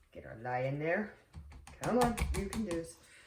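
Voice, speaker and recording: A woman with an American accent and very wide pitch swings, plus audible room echo and noticeable background noise. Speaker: soap maker. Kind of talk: tutorial. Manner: casual, talking half to herself; quiet, whispering.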